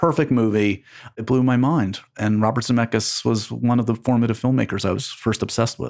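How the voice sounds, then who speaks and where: A man with an American accent uses a normal speaking voice at a medium pitch and a fairly quick pace. His intonation is fairly even, and the recording is very clean with a silent background. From New York City, Manhattan. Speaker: entertainment journalist and podcast host. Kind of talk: casual interview conversation.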